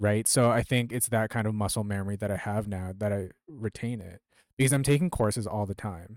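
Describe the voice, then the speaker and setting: On a very clean recording with a silent background, a man with a fairly low pitch talks at a fairly quick pace with ordinary pitch variation. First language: not English. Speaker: podcast co-host, tech company employee. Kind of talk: casual chat.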